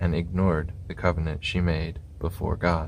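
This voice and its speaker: Soft-spoken and somewhat breathy, a man with a very deep, low pitch talks at a fairly slow pace in a calm tone and a monotone, flat intonation. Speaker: scripture reader. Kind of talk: ASMR scripture reading. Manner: soft-spoken, calm.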